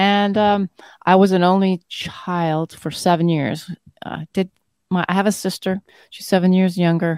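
A woman with a Canadian accent speaks in a flat monotone, her loudness swinging widely. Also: medium pitch for a woman, fairly slow pace. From northern Manitoba, Canada. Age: 50s. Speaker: doctor. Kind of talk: casual interview.

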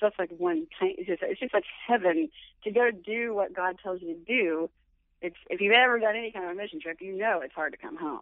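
A woman with an American accent and a normal speaking voice talks at a fairly quick pace and a medium pitch, her intonation lively and her loudness swinging widely. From Florida, US (Orlando). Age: 40s. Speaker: church volunteer and mother. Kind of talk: casual interview chat. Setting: phone call.

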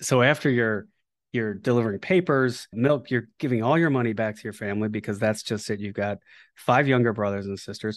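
The man has a plain, everyday voice at a medium pitch with ordinary pitch variation. He speaks at a fairly quick pace against a quiet background. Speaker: podcast host. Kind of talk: interview conversation.

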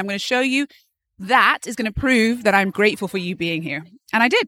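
With an American accent, a woman talks at a fairly quick pace in a bright, sharp tone with lively intonation, the sound dry and close with no echo. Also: very clean recording, silent background. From England, Bath. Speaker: actor and entrepreneur. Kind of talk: interview. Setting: live event with activity in background.

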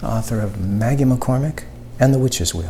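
The speech runs at a moderate pace with noticeable background noise. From Canada. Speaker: author. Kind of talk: scripted announcement.

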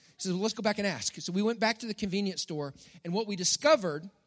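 Using lively intonation and an animated tone, a man speaks at a high pitch in a Texan accent. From Texas. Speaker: pastor. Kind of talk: sermon.

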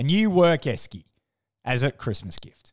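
A man with a strong Australian accent at a moderate pace, making very wide pitch swings, in a dry, close sound with no echo and a very clean recording with a silent background. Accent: broad Australian. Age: 30s. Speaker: podcast host. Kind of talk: casual monologue. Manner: animated.

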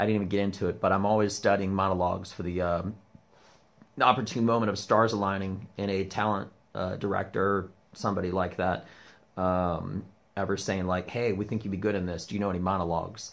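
A man speaks very fast in a fairly low, monotone voice with flat intonation. The recording is very clean, with a silent background. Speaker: comedian. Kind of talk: casual vlog monologue. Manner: aggressive, emphatic; hesitant with fillers.

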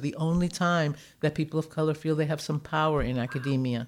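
A woman talks in a very deep, low pitch with ordinary pitch variation. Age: 60s. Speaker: social work professor. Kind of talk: moderated interview discussion.

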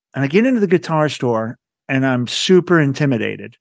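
An ordinary speaking voice moves at a fairly quick pace with lively intonation. The background is quiet. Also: man. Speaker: podcast host and nonprofit director. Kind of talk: interview conversation.

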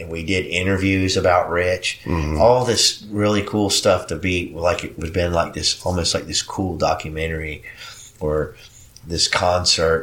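A man's very deep, low voice at a moderate pace, with fairly even intonation and noticeable background noise. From Puerto Rico. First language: Spanish. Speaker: musician, bassist in two bands. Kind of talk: casual interview chat. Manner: halting, with many fillers.

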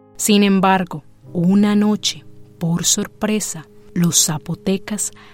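A woman speaks at a very slow pace in a dramatic tone, with music in the background. Her pitch is medium, with ordinary variation. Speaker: podcast narrator and producer. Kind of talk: scripted storytelling narration. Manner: dramatic, suspenseful narration with rhetorical questions.

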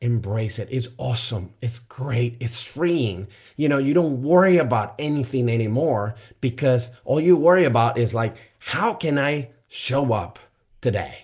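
The voice is somewhat breathy, with ordinary pitch variation. It moves at a fairly slow pace against a quiet background. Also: man, medium pitch for a man. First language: not English. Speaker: life coach, podcast host. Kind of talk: solo motivational podcast monologue. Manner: conversational with frequent fillers.

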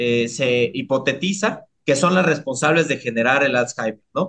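In a Mexico City accent, the speaker talks at a fairly slow pace with lively intonation. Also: man. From Mexico City, Iztapalapa. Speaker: neuroscientist. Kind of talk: interview.

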